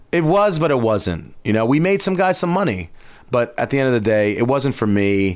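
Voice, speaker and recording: Very even loudness and very wide pitch swings at a moderate pace, on a very clean recording with a silent background. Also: man, medium pitch for a man. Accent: New York. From Long Island, New York. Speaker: footwear designer and entrepreneur. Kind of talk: casual chat.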